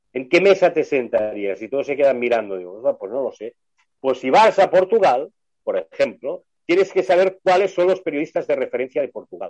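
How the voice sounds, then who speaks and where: A man at a fairly quick pace, in a dry, close sound with no echo. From Barcelona, Spain. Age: 60s. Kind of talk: casual chat. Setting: video call. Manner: fluent talker.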